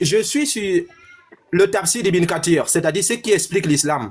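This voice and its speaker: A man with a Cameroonian accent at a moderate pace, with ordinary pitch variation. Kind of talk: heated debate. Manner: animated.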